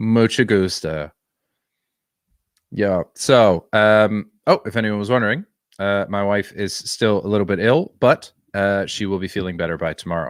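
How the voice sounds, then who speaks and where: On a very clean recording with a silent background and a dry, close sound with no echo, a man with a normal speaking voice talks at a moderate pace with ordinary pitch variation. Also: fairly low pitch for a man. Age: 30s. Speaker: streamer. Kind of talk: casual chat.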